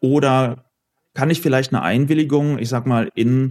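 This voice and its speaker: A man with a normal speaking voice at medium pitch and moderate pace, in a very clean recording with a silent background. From Ruhr area, Oberhausen. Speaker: law professor. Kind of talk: panel discussion.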